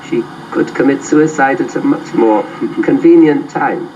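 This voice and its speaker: A man's voice over noticeable background noise. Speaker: literature professor. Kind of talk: interview. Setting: studio.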